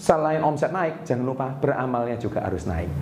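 Fairly quick pace with noticeable background noise. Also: man. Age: 40s. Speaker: business motivator and YouTuber. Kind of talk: motivational vlog monologue. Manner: enthusiastic.

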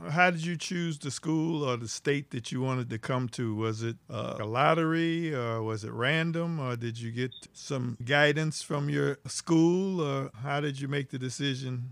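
Fairly slow yet with hardly any pauses, a man speaks at a fairly high pitch in an unremarkable speaking voice with ordinary pitch variation. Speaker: podcast host interviewer. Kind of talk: casual interview chat.

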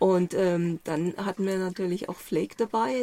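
Using a normal speaking voice, a woman of medium pitch talks with fairly even intonation. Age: 60s. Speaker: journalist and author. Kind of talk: interview. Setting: inside a camper van on a mountain.

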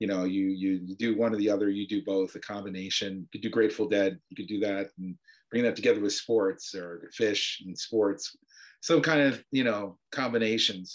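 A man's plain, everyday voice, fairly low in pitch with ordinary pitch variation, at a moderate pace, with big swings in loudness and an American accent. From upstate New York (Adirondacks). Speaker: Torah scholar and professor. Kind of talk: casual chat.

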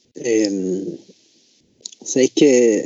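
This is a man talking. His pitch varies in an ordinary way. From Chile, Tocopilla. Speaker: podcast co-host. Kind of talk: casual chat.

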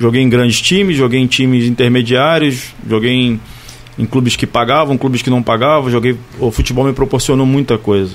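A man speaks in a normal speaking voice at a medium pitch. His loudness stays very even and his intonation fairly even. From Barra do Piraí, Rio de Janeiro state, Brazil. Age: 40s. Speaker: former professional footballer. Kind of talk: casual interview.

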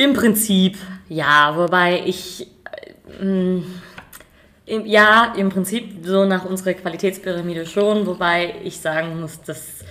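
A woman at a very slow pace, medium in pitch, with fairly even intonation, long and frequent pauses, and noticeable background noise. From Germany, Rheingau (Hesse). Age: 20s. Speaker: winemaker. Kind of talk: casual interview. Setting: at a winery.

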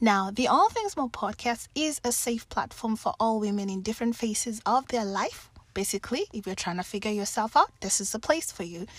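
In a very clean recording with a silent background, a woman with a Kenyan accent speaks at a fairly quick pace, her fairly high, somewhat breathy voice showing ordinary pitch variation. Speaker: podcast host, life coach. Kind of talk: interview podcast.

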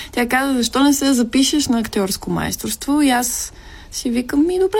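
A woman's high-pitched voice at very even loudness, with noticeable background noise. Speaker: actress. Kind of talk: casual chat.

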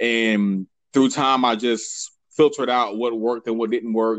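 At a fairly slow pace, a man speaks in an unremarkable speaking voice at medium pitch with fairly even intonation. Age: 30s. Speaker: marketing expert. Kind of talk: interview.

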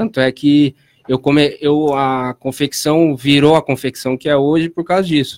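With an ordinary speaking voice, a man talks at a fairly slow pace and a fairly high pitch, his intonation fairly even and the sound dry and close with no echo. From Piracicaba, São Paulo state, Brazil. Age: 20s. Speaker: clothing brand founder and rap battle organizer. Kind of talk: casual interview chat.

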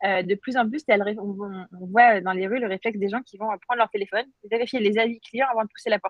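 This woman has a normal speaking voice with a fairly high pitch. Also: fairly even intonation, fairly quick pace. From France and Algeria (Paris and Algiers). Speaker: startup founder and CEO. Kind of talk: interview.

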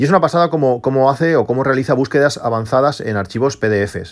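A man talks at a moderate speed with ordinary pitch movement, captured on a very clean recording with a silent background. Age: 40s. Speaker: tech podcast host. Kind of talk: casual solo podcast monologue. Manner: halting, many repetitions and fillers.

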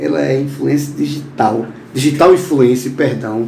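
A man speaks over noticeable background noise. His voice carries an audible room echo. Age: 50s. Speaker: podcast host. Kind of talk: interview.

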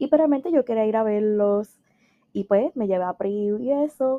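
Fairly high-pitched woman in a Puerto Rican accent, animated in tone, at a fairly slow pace with ordinary pitch variation. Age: 20s. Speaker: podcast host and life coach. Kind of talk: casual solo monologue.

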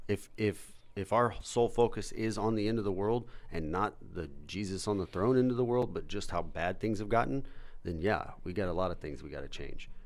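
Talking at a fairly quick pace, a man has a fairly low pitch with ordinary pitch variation. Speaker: host of a faith-based live show. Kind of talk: casual chat. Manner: fast talker.

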